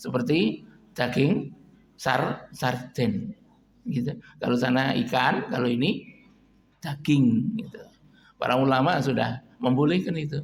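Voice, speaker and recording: Pausing long and often, a man speaks very slowly in a somewhat breathy, fairly high voice with lively intonation. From East Java, Kediri. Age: 70s. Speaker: Islamic preacher and lecturer. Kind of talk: religious lecture. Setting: mosque, morning study gathering. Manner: informal, mixing Javanese.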